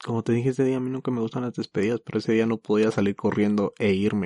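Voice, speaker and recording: A man with a fairly low pitch and fairly even intonation talks at a very fast pace, in a dry, close sound with no echo. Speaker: podcast host. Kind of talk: casual chat.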